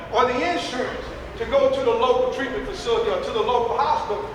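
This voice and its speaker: A loud man talks at a fairly quick pace with lively intonation. Audible room echo and noticeable background noise surround his voice. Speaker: military substance abuse program officer. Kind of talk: presentation to audience. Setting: hotel conference hall with audience.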